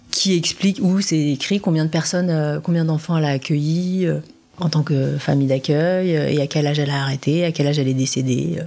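A woman's very deep, low-pitched voice at a fairly quick pace, with fairly even intonation and noticeable background noise. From France. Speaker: adoptee telling her story. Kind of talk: testimony. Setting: sitting on host's sofa.

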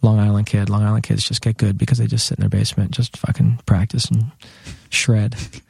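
Somewhat breathy, a man talks at a fairly quick pace with a fairly low pitch and fairly even intonation. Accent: American. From New York City, Lower Manhattan. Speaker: drummer. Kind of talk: casual chat.

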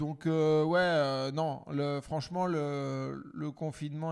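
Speaking at a very slow pace with monotone, flat intonation, a man with a fairly high pitch is heard in a very clean recording with a silent background. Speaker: comedian podcast host. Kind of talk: casual chat.

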